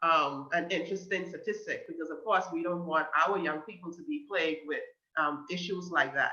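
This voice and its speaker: A woman with a Bahamian accent speaks with lively intonation. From Bahamas, Grand Bahama. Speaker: guest speaker on mental health. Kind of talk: talk to a youth group. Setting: video call.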